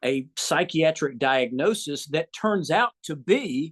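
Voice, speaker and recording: The speaker has a Southern US accent and lively intonation. The sound is dry and close, with no echo. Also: man. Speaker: gynecologist. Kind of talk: interview. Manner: hesitant, with many fillers.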